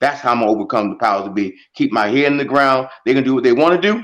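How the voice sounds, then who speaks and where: This man's voice sits at a medium pitch and moves through ordinary pitch variation. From US inner city. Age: 60s. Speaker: congressional candidate. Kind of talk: interview. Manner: halting.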